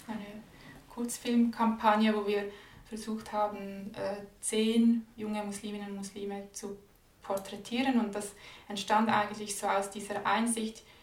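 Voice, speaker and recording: Against noticeable background noise, a woman talks at a fairly slow pace. Her fairly high voice stays monotone and flat. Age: 20s. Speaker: graduate student and anti-racism speaker. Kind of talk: interview conversation.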